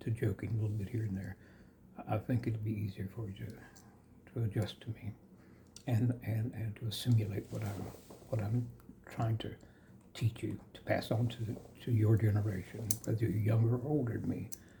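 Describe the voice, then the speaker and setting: With an American accent, a man speaks at a moderate pace in a fairly low, somewhat breathy voice of dark, mellow tone, his intonation monotone and flat, with long, frequent pauses. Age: 70s. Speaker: yoga teacher. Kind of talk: spiritual discourse monologue. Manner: halting, many fillers.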